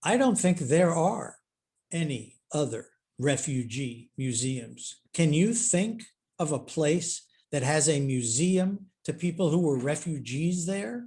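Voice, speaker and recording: Using a very slow pace, a man speaks in a fairly high pitch with lively intonation and a dark, mellow tone. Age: 70s. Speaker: historian and author. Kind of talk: Q&A at online author talk.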